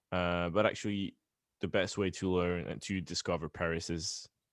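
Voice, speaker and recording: A man with a French accent speaks at a very deep, low pitch. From France. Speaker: pop punk band member. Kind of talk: interview. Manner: halting.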